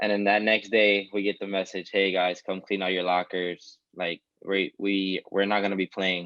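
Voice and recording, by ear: The man's low voice has a fairly bright tone and little pitch movement. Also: moderate pace.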